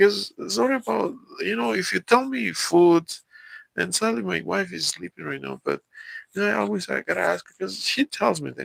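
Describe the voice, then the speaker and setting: Speaking with a Mexican accent, a man keeps a moderate pace in a dry, close sound with no echo. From Mexico. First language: Spanish. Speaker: live streamer. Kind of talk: live stream chat with viewers. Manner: halting, many fillers and repeats.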